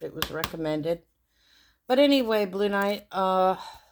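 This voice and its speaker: A woman's medium-pitched voice moves through very wide pitch swings. She talks at a fairly slow pace. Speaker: tarot YouTuber. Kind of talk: casual show-and-tell video. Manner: hesitant, many fillers.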